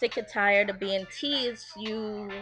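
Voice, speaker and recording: A woman's medium-pitched voice in an American accent at a very slow pace, with music in the background. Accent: Guyanese, sometimes Americanized. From Guyana, raised partly in New York. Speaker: vlogger. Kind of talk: casual video blog. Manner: casual, many fillers.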